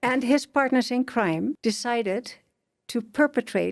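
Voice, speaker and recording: With a Dutch accent and vocal fry, a woman speaks at a moderate pace and fairly high pitch on a very clean recording with a silent background. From Netherlands. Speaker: author. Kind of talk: interview testimony. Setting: studio.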